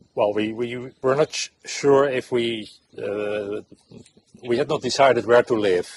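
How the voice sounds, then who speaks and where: A man's medium-pitched voice at a fairly slow pace, with fairly even intonation and a dry, close sound with no echo. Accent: Dutch. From Netherlands. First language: Dutch. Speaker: expat homeowner. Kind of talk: casual interview. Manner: halting.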